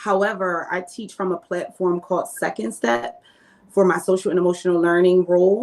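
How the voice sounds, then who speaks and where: A woman at a medium pitch, with ordinary pitch variation and a moderate pace. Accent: Philadelphia. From North Philadelphia. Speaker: teacher. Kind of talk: interview. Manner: many filler ums.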